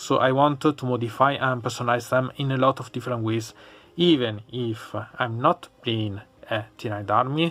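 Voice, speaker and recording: A man speaks at a medium pitch in an Italian accent. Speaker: hobbyist YouTuber, miniatures painter. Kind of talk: unboxing review. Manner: halting.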